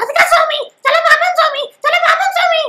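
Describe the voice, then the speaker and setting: Using a squeaky, put-on character voice, a woman speaks at a moderate pace with an extremely high pitch and very wide pitch swings. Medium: comedy sketch. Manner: whiny, dramatic.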